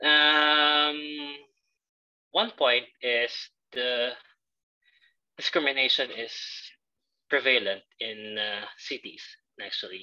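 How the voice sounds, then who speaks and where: A man with a Filipino accent speaks at a very slow pace, with long, frequent pauses. His bright, sharp voice sits fairly high in pitch with ordinary pitch variation. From Philippines. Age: 20s. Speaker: assistant language teacher. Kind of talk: interview. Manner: hesitant, many fillers.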